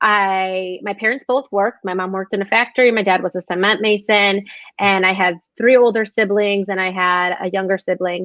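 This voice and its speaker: In an American accent, a woman talks at a moderate pace with a medium pitch and fairly even intonation. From Chicago suburbs, US Midwest. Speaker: podcast host. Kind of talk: interview. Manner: halting.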